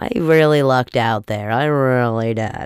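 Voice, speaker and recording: The recording is very clean and the background silent. A woman talks at a moderate pace. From Italian-American family. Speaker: podcast host. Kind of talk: casual solo monologue. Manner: animated.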